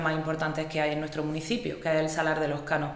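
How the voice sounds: A woman speaks with a low pitch. Faint noise sits in the background.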